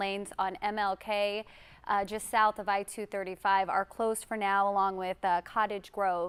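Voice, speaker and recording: In a very clean recording with a silent background, a woman with an American accent speaks at a moderate pace in an ordinary speaking voice, medium-pitched with fairly even intonation. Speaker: TV news anchor. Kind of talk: breaking news anchor report.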